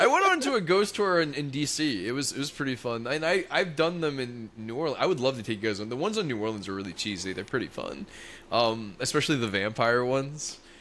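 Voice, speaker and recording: A loud man with an American accent, bright and sharp in tone, very wide pitch swings, very fast pace and hardly any pauses. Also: medium pitch for a man. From US South, Louisiana. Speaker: podcast co-host. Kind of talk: casual chat.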